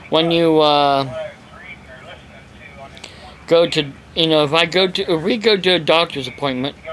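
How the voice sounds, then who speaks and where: A man speaks fairly slowly at a fairly high pitch, with ordinary pitch variation and long, frequent pauses. His loudness stays very even, and there is noticeable background noise. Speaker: evangelist preacher. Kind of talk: casual talk to camera.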